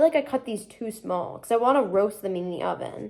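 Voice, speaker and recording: A woman's fairly high, animated voice at a fairly quick pace, with ordinary pitch variation and noticeable background noise. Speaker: lifestyle vlogger. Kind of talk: casual chat. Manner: fast.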